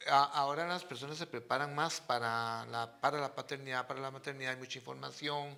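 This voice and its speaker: A man's fairly high, bright, sharp voice at a fairly quick pace, with hardly any pauses and fairly even intonation. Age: 60s. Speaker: father of the host. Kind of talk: casual chat.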